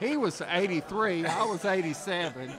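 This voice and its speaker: A man speaks at a fairly quick pace with a high pitch and ordinary pitch variation. Noticeable background noise is audible. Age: 60s. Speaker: professional bass angler. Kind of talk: casual chat. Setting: live event broadcast.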